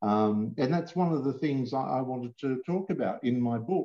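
With an Australian accent, a man speaks at medium pitch and a moderate pace, his intonation lively. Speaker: comics writer and author. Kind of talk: interview.

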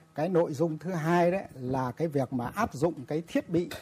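Very slowly, a man delivers his words. The intonation rises and falls in a lively way. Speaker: industry association chairman. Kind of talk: panel discussion. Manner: halting.

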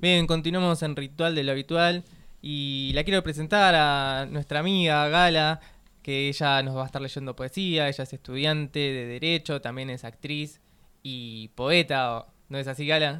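A man with a Rioplatense accent speaks at a fairly slow pace in a fairly high pitch for a man, his intonation fairly even. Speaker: radio host. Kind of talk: casual radio chat.

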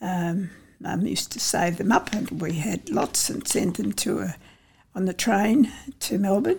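A woman speaks at medium pitch with vocal fry. Her pace is fairly slow. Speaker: local elder recounting childhood. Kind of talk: oral history interview.

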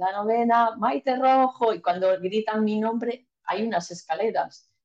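A woman's dark, mellow voice, fairly slow, with ordinary pitch variation. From Galicia, Spain (A Coruña). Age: 50s. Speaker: ultrarunner and ship captain. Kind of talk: casual interview chat.

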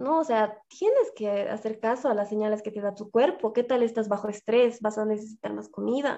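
A woman's fairly high, dark and mellow voice with a Bolivian accent, fairly even intonation, a moderate pace and hardly any pauses. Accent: Bolivian Spanish (La Paz). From Bolivia, La Paz. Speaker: fitness influencer. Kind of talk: interview.

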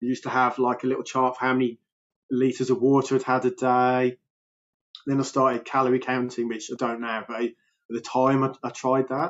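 A man is speaking. His pitch is medium and his pace fairly quick. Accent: Birmingham. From Birmingham, England. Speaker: health coach. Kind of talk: casual interview. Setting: remote call. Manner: energetic, animated.

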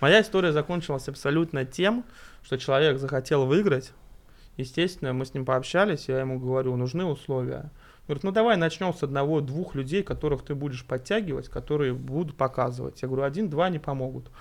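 Against a quiet background, a man talks at a fairly quick pace with an unremarkable speaking voice. His pitch is fairly high, with ordinary variation. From Russia, Tver. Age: 30s. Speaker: amateur football referee and player. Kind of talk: casual chat.

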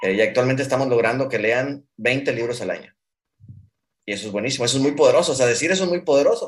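This man talks at a very fast pace. His pitch varies in an ordinary way. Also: medium pitch for a man. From Mexico. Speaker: startup founder. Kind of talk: interview. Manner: halting.

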